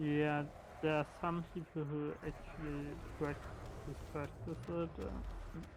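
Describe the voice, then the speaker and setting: The room's echo is audible as this man delivers his words at a very slow rate. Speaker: fellow gamer on voice chat. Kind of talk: casual chat. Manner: halting, stuttering.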